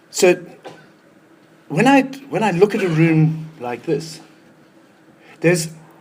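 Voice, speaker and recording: High pitch for a man, a very slow pace and long, frequent pauses, with noticeable background noise. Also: lively intonation. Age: 60s. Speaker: retirement transition consultant. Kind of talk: talk to an audience. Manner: halting, repeats words.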